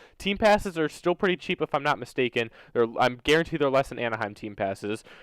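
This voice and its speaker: Very fast and with very wide pitch swings, a man with an American accent speaks at a fairly high pitch. The recording is very clean, with a silent background, and the sound is dry and close with no echo. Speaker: gaming YouTuber and competitive player. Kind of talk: opinion rant to camera.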